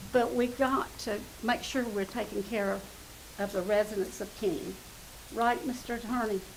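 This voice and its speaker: A woman with a Southern US accent speaks at a moderate pace with ordinary pitch variation and long, frequent pauses. Noticeable background noise and audible room echo fill the recording. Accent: US South. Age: 70s. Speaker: resident speaking at public comment. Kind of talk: public comment at council meeting. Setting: council chamber.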